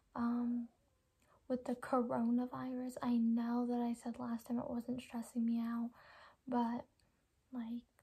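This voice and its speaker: A soft-spoken woman talks at a fairly slow pace in a high pitch, her tone dark and mellow and her intonation flat and monotone. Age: young. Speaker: vlogger. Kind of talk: casual chat.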